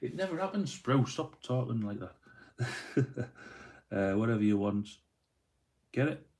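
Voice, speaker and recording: Here a man with a Yorkshire accent talks at a moderate pace, leaving long, frequent pauses. His medium-pitched voice makes very wide pitch swings. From northern England, Doncaster. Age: 30s. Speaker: miniature painter live streamer. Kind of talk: casual live stream chat. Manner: casual, rambling with fillers.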